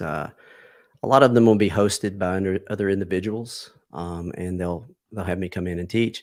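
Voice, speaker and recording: A man speaks in a normal speaking voice at a moderate pace, pitched fairly low with fairly even intonation. The recording is very clean, with a silent background. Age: 50s. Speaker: martial arts and self-defense instructor. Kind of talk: interview.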